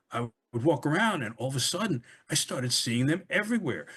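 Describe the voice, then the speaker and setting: A man with a New York accent, at a moderate pace. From US Northeast, Brooklyn (Flatbush). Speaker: author. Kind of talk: interview.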